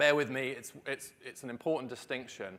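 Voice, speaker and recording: The pace is fairly quick. It's a man talking in a British accent. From Britain. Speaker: policy researcher. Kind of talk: conference talk.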